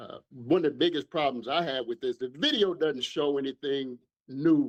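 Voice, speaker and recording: An ordinary speaking voice, a man's, fairly high in pitch with fairly even intonation and a fairly slow pace, dry and close with no echo over a quiet background. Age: 60s. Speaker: caller. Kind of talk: call-in opinion.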